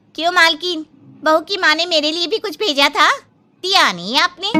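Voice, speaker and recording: In a cartoonish character voice, a woman speaks at an extremely high pitch with ordinary pitch variation. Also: moderate pace. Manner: brash, cheeky.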